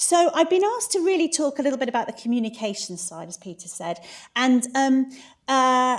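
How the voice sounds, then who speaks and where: A woman with a high pitch speaks with a British accent in an animated tone, her pitch swinging very widely. The recording is very clean with a silent background. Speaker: conference speaker. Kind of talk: conference talk. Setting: stage with audience. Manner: fast.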